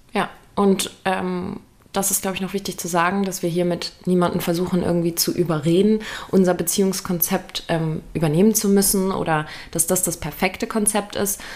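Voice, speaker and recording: Monotone, flat intonation at a medium pitch from a woman. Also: moderate pace. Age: 20s. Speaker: podcast co-host. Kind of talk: casual chat.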